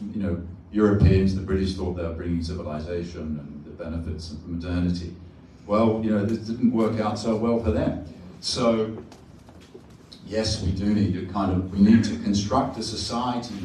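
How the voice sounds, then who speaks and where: A man with an Australian accent at fairly low pitch, ordinary pitch variation and a moderate pace, with long, frequent pauses and audible room echo. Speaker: professor. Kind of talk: panel discussion Q&A.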